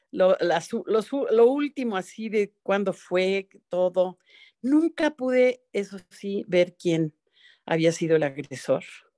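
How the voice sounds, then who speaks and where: Her pitch swinging very widely, a woman talks at a very slow pace over a quiet background. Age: 80s. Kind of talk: personal testimony. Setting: video call. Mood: emotional, reflective. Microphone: video call.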